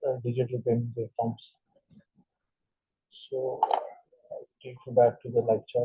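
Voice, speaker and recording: A man's very slow, medium-pitched, somewhat breathy voice with a dark, mellow tone, monotone, flat intonation, long, frequent pauses and an Indian accent. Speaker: trading instructor. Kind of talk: tutorial. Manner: halting, many fillers.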